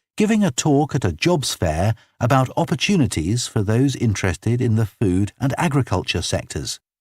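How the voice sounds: A man's fairly low voice, slightly husky and slightly mellow, with big pitch swings at a moderate pace, dry and close with no echo, on a very clean recording with a silent background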